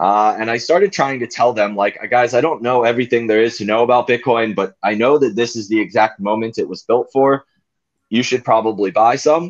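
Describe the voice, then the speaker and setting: A man talks at a fairly quick pace in an unremarkable speaking voice. His pitch is medium, with ordinary variation. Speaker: guest living in a truck. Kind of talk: casual conversation.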